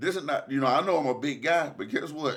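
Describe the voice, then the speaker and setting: In an Alabama accent, a man speaks at a fairly quick pace and a fairly high pitch, his tone bright and sharp and his intonation lively. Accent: Southern US (Alabama). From Decatur, Alabama. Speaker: local resident. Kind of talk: interview.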